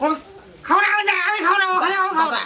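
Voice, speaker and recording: The speaker uses a put-on character voice at an extremely high pitch and a very fast pace. Clear background noise can be heard. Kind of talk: rural comedy sketch acting. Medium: comedy sketch. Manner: stubborn, indignant.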